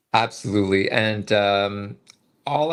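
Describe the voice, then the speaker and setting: A man with a Canadian accent speaks at a medium pitch. His pace is fairly slow. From Canada. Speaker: medical student. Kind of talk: webinar testimony. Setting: online webinar. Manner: halting, many fillers.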